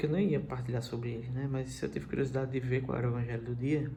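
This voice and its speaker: A soft-spoken man's somewhat breathy voice, medium in pitch and dark and mellow in tone, at a very fast pace with audible room echo. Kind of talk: scripture reflection. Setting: livestream from home.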